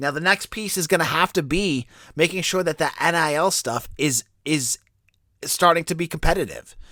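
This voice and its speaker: A man's high-pitched, bright and sharp voice with ordinary pitch variation, dry and close with no echo, on a very clean recording with a silent background. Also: moderate pace. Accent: American. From Boston area. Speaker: sports podcast host. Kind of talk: sports podcast commentary. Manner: casual, conversational.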